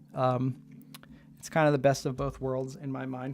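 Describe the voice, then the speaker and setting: Fairly slow speech with music in the background. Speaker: solo maker of console buttons, streamer. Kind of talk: livestream tutorial and Q&A. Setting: live stream. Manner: casual, hesitant with many fillers.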